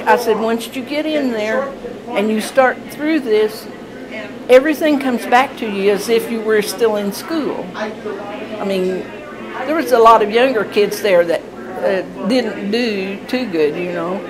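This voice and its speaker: Crowd noise fills the background as a woman with an American accent speaks fairly slowly. Her voice is fairly high, with ordinary pitch variation. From Indiana. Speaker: retired factory worker. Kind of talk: interview answer.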